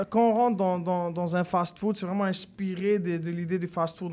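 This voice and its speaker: This man speaks at a high pitch and a fairly slow pace. His intonation is monotone and flat. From Morocco. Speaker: chef. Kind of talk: radio interview. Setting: radio studio.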